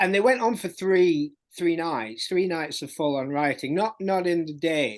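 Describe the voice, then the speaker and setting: Spoken in a Yorkshire accent at a fairly slow pace, the voice has lively intonation over a quiet background. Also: man, high pitch for a man. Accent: Barnsley accent, moderate. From South Yorkshire (Barnsley). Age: 50s. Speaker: music journalist and author. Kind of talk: podcast interview. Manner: halting, many repetitions.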